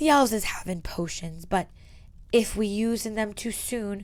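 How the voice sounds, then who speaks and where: A woman's put-on character voice at medium pitch and a moderate pace. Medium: read story. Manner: broken grammar, speaks of herself in third person.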